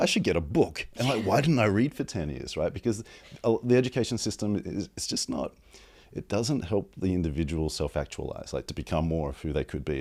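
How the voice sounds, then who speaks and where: In a very clean recording with a silent background, a man with an Australian accent talks at a fairly quick pace, his pitch swinging very widely with vocal fry. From Australia, Sydney. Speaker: advertising strategist. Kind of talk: casual interview.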